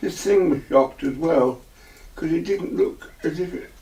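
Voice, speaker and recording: Speaking with an English accent, this man keeps a moderate pace. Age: 80s+. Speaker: eyewitness. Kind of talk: testimony. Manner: halting, repeats words.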